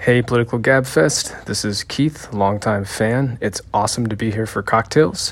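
In a normal speaking voice, a man talks at a moderate pace and medium pitch, with ordinary pitch variation and hardly any pauses. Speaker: listener. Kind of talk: recorded message.

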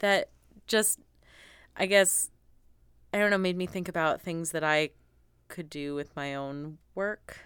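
A woman speaks at a fairly slow pace with ordinary pitch variation. Her speech has long, frequent pauses. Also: very clean recording, silent background. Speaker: podcast host. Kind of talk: casual chat. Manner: animated, laughing.

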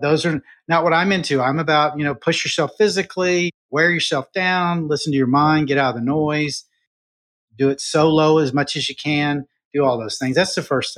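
An ordinary speaking voice from a man, fairly high-pitched, at a moderate pace with fairly even intonation, dry and close with no echo over a quiet background. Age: 60s. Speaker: trauma survivor and social media motivator. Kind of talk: interview testimony.

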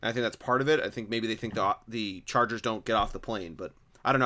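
Bright and sharp in tone, a man talks at a very fast pace and medium pitch, with ordinary pitch variation. The recording is very clean, with a silent background. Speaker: podcast host. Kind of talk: casual sports podcast chat, solo intro. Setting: recorded at home, construction noise outside. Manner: rambly, occasional stutter.

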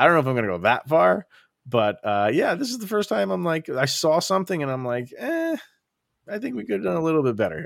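Very fast and full of very wide pitch swings, a man speaks in a fairly high voice. The recording is very clean, with a silent background. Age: 40s. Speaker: sports podcast host. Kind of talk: casual chat.

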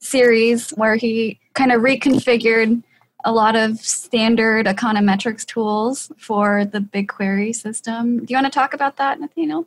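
A fairly high-pitched, somewhat breathy woman at a moderate pace, with fairly even intonation and a dry, close sound with no echo. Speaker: podcast host and policy researcher. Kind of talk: casual interview.

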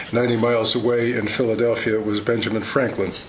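Over noticeable background noise, a man with an American accent speaks at a moderate pace and medium pitch. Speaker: military historian presenting a paper. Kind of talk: conference lecture. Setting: conference room with audience. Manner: dry humorous.

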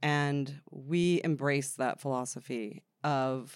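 A woman speaks in an American accent with ordinary pitch variation. The recording is very clean, with a silent background. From New Jersey, Freehold. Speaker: film distribution executive. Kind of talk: interview. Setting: at a film festival.

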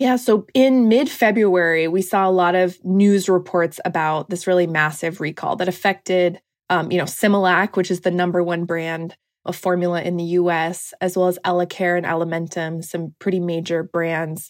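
A normal speaking voice with an American accent moves at a moderate pace, with fairly even intonation and hardly any pauses, in a very clean recording with a silent background. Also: woman, fairly low pitch for a woman. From US Pacific Northwest, Washington State. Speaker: journalist. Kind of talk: interview.

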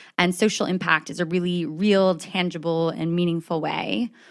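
In a normal speaking voice, a woman with an American accent talks at a moderate pace with a fairly low pitch and fairly even intonation, in a very clean recording with a silent background. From upstate New York, US. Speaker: corporate social impact lead. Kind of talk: casual interview.

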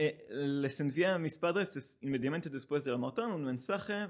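A man with a Hebrew accent speaks at a fairly high pitch with lively intonation. The background is quiet. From Israel. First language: Hebrew (speaking Spanish). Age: 30s. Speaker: amateur runner, running group organizer. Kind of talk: casual interview. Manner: halting.

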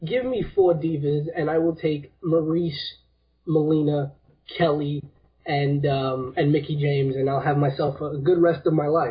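The man's voice is fairly high and somewhat breathy. He keeps a moderate pace and fairly even intonation. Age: 20s. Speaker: caller, wrestling fan. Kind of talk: casual chat. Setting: phone call.

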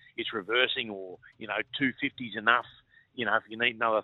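At a fairly quick pace, a man with an Australian accent talks at a medium pitch. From Far North Queensland, Australia. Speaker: former cricketer. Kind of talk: casual chat.

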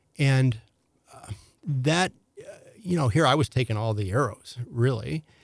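A man with an American accent talks at a fairly slow pace and medium pitch. The sound is dry and close, with no echo. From St. Louis, Missouri. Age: 60s. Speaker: former county executive candidate. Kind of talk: casual interview conversation. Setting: studio. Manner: hesitant, filler-heavy.

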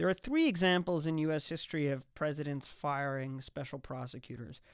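Here is a man with a plain, everyday voice, a fairly high pitch and ordinary pitch variation, speaking at a moderate pace. The recording is very clean, with a silent background. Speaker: law professor. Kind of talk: radio interview. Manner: formal, measured.

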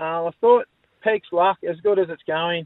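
Speech comes at a moderate pace. The intonation stays fairly even. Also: man. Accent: Australian. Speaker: horse owner, harness racing tipster. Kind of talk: casual tipping chat. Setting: phone call.

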